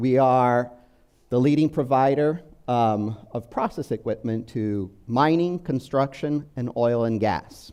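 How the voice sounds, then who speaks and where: Delivery is very slow, with pitch varying in an ordinary way. The voice has a dark, mellow tone. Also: man, medium pitch for a man. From Brazil. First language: Portuguese. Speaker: business software manager. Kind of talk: conference presentation. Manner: hesitant, many fillers.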